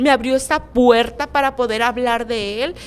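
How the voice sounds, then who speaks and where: Pitch shifts in an ordinary way throughout. The delivery is fairly slow. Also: woman. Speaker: podcast host. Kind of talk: casual interview chat. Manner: stutters when nervous, laughs.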